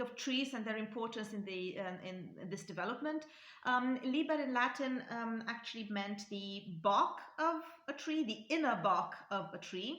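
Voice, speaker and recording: A woman speaks at a fairly slow pace with a Romanian accent and lively intonation, and audible room echo surrounds her voice. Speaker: linguistics YouTuber. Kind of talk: educational talk. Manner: halting, many fillers.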